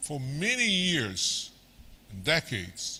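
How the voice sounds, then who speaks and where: A man's fairly high, bright, sharp voice with vocal fry, at a very slow pace. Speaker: senior researcher, keynote speaker. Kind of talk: lecture. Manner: slow, deliberate.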